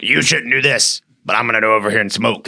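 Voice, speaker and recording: Putting on a raspy character voice, a man speaks at a medium pitch with fairly even intonation. He goes at a very fast pace. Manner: hypocritical, scolding.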